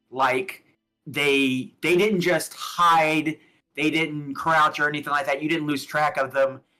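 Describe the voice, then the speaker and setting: Music plays in the background as a man with an American accent speaks at a fairly slow pace. His pitch is fairly high and his intonation fairly even. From US South, Alabama. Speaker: tabletop game master. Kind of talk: tabletop roleplaying game narration on stream.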